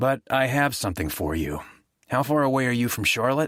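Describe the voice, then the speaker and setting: A man puts on a character voice, gravelly and raspy, at a medium pitch with very wide pitch swings and a fairly quick pace. The recording is very clean, with a silent background. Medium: read story. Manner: guarded, clipped.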